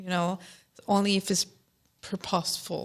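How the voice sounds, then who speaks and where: In a very clean recording with a silent background, a woman with a non-native accent speaks with monotone, flat intonation. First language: not English. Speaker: instructional technology staff. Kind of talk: casual podcast conversation. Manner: halting, many fillers.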